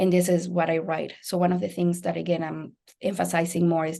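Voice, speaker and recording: A woman's dark, mellow voice in a Spanish accent, fairly quick in pace, over a quiet background. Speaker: biology lecturer. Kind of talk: panel presentation.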